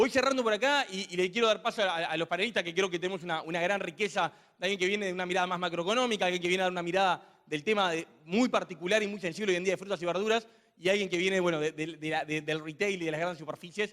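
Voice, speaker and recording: A man's high voice, bright and sharp, at a very fast pace with ordinary pitch variation. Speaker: think tank speaker presenting the topic. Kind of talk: panel talk introduction.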